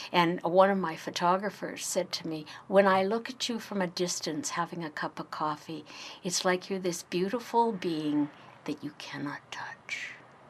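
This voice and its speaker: Using an ordinary speaking voice, a woman talks at a fairly slow pace with medium pitch and fairly even intonation. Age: 60s. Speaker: interviewee sharing life story. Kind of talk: personal interview. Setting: radio interview.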